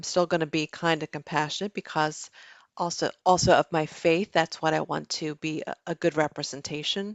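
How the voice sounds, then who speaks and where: Calm and flat, a woman's very deep, low voice holds a monotone at a moderate pace. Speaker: life coach. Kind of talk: casual chat.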